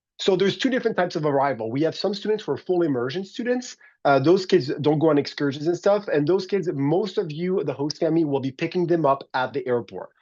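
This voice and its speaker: Against a quiet background, a man speaks at a high pitch with lively intonation. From France. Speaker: exchange program coordinator. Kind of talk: orientation presentation. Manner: fast; casual, halting.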